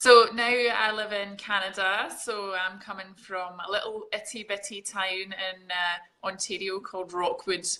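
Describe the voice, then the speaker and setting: A woman speaks at a fairly slow pace with a Scottish accent, her pitch medium. Her tone is bright and sharp, and her intonation stays flat and monotone. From Scotland, Glasgow. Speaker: fitness coach. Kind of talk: casual interview.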